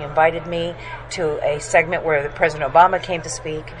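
Against noticeable background noise, a woman speaks quickly-ish in a fairly low pitch, her intonation monotone and flat. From raised abroad, moved to US as older teenager. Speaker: magazine publisher. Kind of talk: interview. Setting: conference venue.

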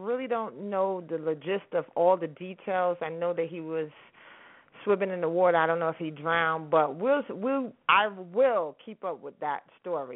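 With lively intonation and an animated tone, a woman speaks at a medium pitch. Her pace is moderate. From New York, Harlem. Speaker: internet radio host. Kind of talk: casual radio show talk with music.

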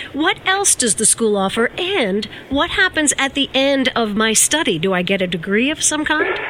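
With noticeable background noise behind her, a woman with a high pitch talks in an upbeat tone at a moderate pace, using very wide pitch swings, very even loudness and hardly any pauses. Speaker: radio host. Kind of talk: radio interview.

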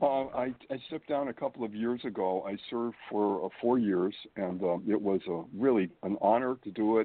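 Here a man uses an ordinary speaking voice, fairly low in pitch with ordinary variation, at a moderate pace. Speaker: guest. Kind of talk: casual chat.

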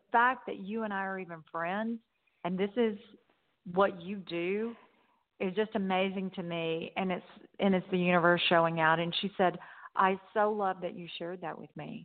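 A woman with a Southern US accent speaks at a moderate pace and medium pitch. Her loudness swings widely. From US South. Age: 60s. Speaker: motivational speaker. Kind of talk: interview. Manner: animated.

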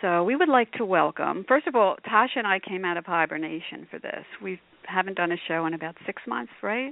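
A woman's plain, everyday voice at medium pitch, with lively intonation, a fairly quick pace, and hardly any pauses. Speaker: radio host. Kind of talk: casual interview chat.

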